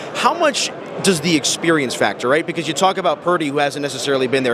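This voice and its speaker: Over noticeable background noise, a man with a fairly high pitch speaks at a very fast pace with fairly even intonation. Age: young. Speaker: sports betting interviewer. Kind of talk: interview. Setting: radio row event in Las Vegas.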